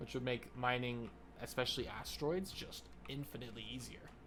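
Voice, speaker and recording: A man speaks at a moderate pace in a medium pitch with an American accent, his pitch moving in an ordinary way, and some room echo can be heard. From United States. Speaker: gaming YouTuber. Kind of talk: casual gameplay commentary. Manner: casual, rambling with fillers.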